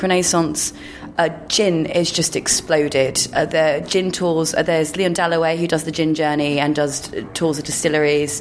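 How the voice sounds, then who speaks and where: A woman speaks in a London accent. Noticeable background noise sits behind her. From London (Paddington, Neasden, Greenford). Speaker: drinks writer. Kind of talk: casual chat. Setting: bar lounge high in a skyscraper.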